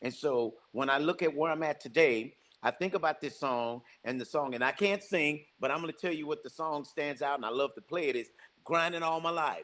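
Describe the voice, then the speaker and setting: Talking at a fairly quick pace, a man has a fairly high pitch with ordinary variation over a quiet background. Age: 60s. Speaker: real estate business owner. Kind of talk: podcast interview. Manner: animated.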